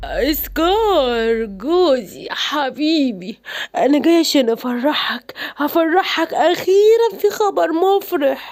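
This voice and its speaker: A woman uses a cartoonish character voice, high-pitched and delivered at a very slow pace. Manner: sly, gloating.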